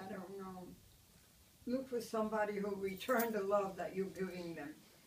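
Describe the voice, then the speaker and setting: There is noticeable background noise as a woman speaks at a medium pitch. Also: moderate pace. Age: 80s+. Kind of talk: interview answer. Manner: positive, upbeat.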